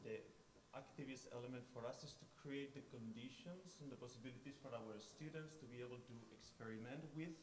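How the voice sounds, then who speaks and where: A man's medium-pitched voice with a strong Spanish accent and fairly even intonation at a fairly quick pace, amid audible room echo and noticeable background noise. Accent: thick Spanish. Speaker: design tutor. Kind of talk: conference presentation.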